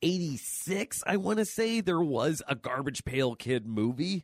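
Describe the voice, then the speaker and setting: In a very clean recording with a silent background, a man speaks at a fairly slow pace, the sound dry and close with no echo. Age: 30s. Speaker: comic book and pop culture podcast co-host. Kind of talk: casual chat. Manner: animated.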